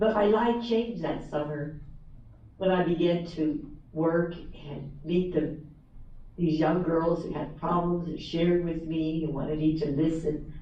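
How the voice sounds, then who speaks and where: Audible room echo surrounds a woman's voice. Her intonation stays fairly even. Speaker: author and former teacher. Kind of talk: motivational talk. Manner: repetitive, halting in places.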